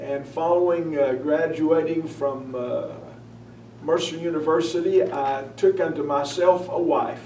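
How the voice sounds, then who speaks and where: A man with a Southern US accent, fairly high in pitch, at a fairly slow pace with fairly even intonation, over noticeable background noise and audible room echo. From North Carolina (Hickory area). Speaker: newspaper editor and preacher. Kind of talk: interview. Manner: hesitant with frequent uh.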